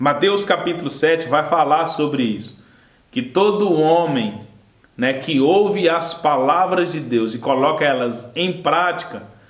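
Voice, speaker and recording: Against noticeable background noise and audible room echo, a man with a fairly high pitch talks at a fairly slow pace with ordinary pitch variation. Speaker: Sunday school Bible teacher. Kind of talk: Bible lesson. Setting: recorded video lesson.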